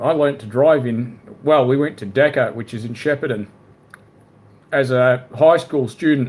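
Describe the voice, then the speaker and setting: Medium in pitch and fairly even in intonation, a man speaks at a moderate pace with an Australian accent. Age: 30s. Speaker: live streamer. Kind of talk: casual chat.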